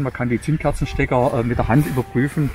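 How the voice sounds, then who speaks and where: A man talks at a fairly quick pace over faint background music. The sound is dry, with no echo. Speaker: ultralight aircraft owner and pilot. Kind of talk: interview. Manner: halting, many fillers. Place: open country.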